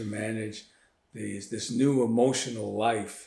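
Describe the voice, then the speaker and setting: Audible room echo surrounds a man whose medium-pitched voice keeps a fairly even intonation. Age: 70s. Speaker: author and physician. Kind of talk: interview. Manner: halting.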